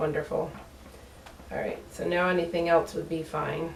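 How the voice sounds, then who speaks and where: A woman talks at a moderate pace in an American accent. Audible room echo surrounds her voice. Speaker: soap maker, small business owner. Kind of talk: tutorial. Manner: casual, hesitant with fillers.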